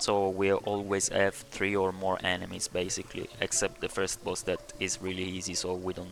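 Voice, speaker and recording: A man with a non-native accent speaks at a fairly slow pace in a fairly low pitch, with music playing in the background. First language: not English. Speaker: video game tutorial creator. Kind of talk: game build tutorial. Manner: halting, many fillers.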